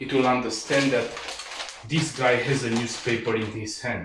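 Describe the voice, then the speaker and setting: A man with a non-native accent, audible room echo and noticeable background noise. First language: not English. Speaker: martial arts instructor. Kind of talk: tutorial. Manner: halting, frequent fillers.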